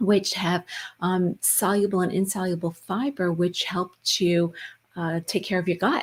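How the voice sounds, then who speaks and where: A somewhat breathy woman's voice, medium in pitch and fairly slow, on a very clean recording with a silent background. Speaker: wellness talk show co-host. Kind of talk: casual chat. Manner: animated.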